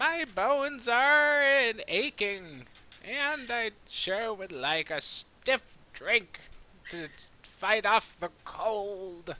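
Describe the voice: Using a put-on character voice, a man speaks at a high pitch and a very slow pace, with very wide pitch swings.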